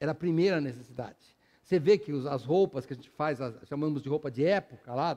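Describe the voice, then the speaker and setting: A man's fairly high-pitched, dark, mellow voice at a very fast pace, with ordinary pitch variation and big swings in loudness. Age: 60s. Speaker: pastor. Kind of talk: sermon. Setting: church.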